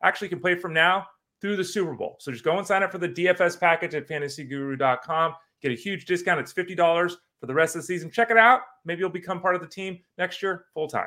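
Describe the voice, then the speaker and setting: Bright and sharp in tone, the voice moves at a very fast pace with ordinary pitch variation on a very clean recording with a silent background. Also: man, high pitch for a man. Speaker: fantasy sports podcast host. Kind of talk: casual chat. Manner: animated, voice rising in pitch.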